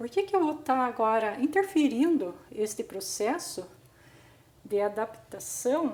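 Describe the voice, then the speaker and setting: Her pitch is high and swings very widely. The woman keeps a fairly slow pace. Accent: Brazilian. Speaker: gardening youtuber. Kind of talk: tutorial.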